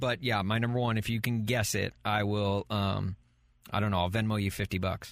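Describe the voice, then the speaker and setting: A man with an American accent and an unremarkable speaking voice talks at a moderate pace with a fairly low pitch, fairly even intonation and very even loudness, in a very clean recording with a silent background. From US South. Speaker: podcast host. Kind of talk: casual chat.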